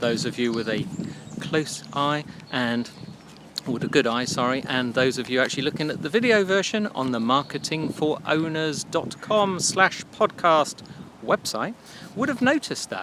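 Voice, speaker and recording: Against noticeable background noise, a man with an English accent talks at a moderate pace in a fairly high pitch with very wide pitch swings. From England. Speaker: marketing podcast host. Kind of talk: casual solo podcast. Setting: outdoors by a duck pond. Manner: casual, chatty with fillers.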